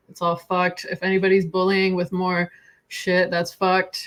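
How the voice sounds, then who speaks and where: The speaker is a woman at a moderate pace. Her pitch sits in the medium range. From Iran. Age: 40s. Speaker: therapist and podcast host. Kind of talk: casual chat.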